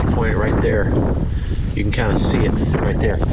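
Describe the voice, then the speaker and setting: A man speaks over loud background noise. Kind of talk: casual vlog commentary. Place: boat. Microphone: phone near.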